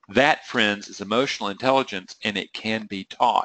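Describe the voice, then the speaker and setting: A man speaks with a Southern US accent at a moderate pace and with ordinary pitch variation. The sound is dry and close, with no echo. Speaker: trading psychology coach. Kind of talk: webinar presentation. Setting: online webinar. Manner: rambling, conversational.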